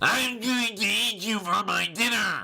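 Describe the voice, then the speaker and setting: The speaker uses a put-on character voice that is nasal and fairly high in pitch. The delivery comes at a fairly slow pace. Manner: threatening but muffled.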